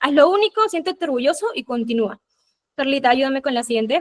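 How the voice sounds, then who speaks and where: A woman with a Peruvian accent speaks at a fairly quick pace in a high voice. Her intonation is lively, and the sound is dry and close with no echo. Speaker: UX designer giving a talk. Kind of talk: presentation with slides. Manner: hesitant filler words.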